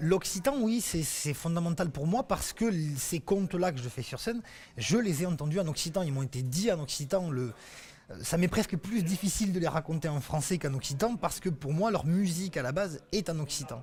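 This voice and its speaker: This man has a high-pitched voice with lively intonation. He talks at a fairly quick pace. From Occitania, southern France. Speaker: storyteller. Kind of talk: interview answer.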